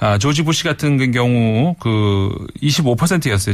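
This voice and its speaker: A man talks in an ordinary speaking voice at medium pitch with lively intonation. The recording is very clean, with a silent background. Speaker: foreign affairs commentator. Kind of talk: radio interview commentary.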